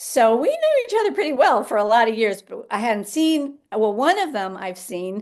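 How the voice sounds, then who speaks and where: This woman talks at a moderate pace. Her fairly high voice carries lively intonation. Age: 60s. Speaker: yoga teacher and health coach. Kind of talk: interview conversation. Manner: halting, with many fillers and repetitions.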